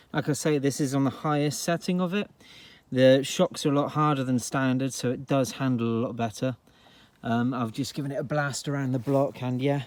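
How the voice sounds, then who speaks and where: In a very clean recording with a silent background, a man with a Devon accent speaks at a fairly high pitch and a moderate pace. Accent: rural Devon. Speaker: car enthusiast vlogger. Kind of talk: casual car video commentary. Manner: casual, hesitant with fillers.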